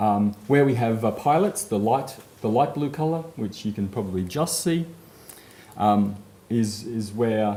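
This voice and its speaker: This man has a medium pitch and an Australian accent. His intonation is lively, and the room echo is audible. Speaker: conference speaker, network services manager. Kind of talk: conference presentation. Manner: frequent fillers, um and uh.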